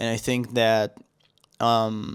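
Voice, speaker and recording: A man with an Israeli accent and a medium pitch, on a very clean recording with a silent background. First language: Hebrew. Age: 20s. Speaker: vlogger. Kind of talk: personal vlog monologue. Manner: halting, many fillers and restarts.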